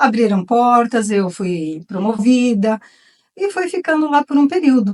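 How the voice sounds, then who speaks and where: Speaking at a fairly slow pace, a woman with a high pitch makes very wide pitch swings, the sound dry and close with no echo. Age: 60s. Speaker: retired artisan. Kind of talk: talk. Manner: informal.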